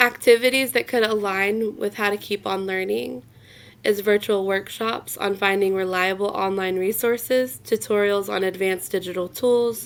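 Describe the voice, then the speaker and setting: On a very clean recording with a silent background, a woman with a medium pitch speaks at a moderate pace and with fairly even intonation. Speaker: elementary school teacher and blogger. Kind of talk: presentation. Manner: stumbling over words.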